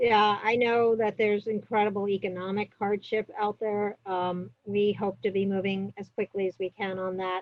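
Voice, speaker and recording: A woman's medium-pitched voice with a New York accent, moderate in pace, flat and monotone, with hardly any pauses. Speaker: public health officer. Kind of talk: interview. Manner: many fillers and hesitations.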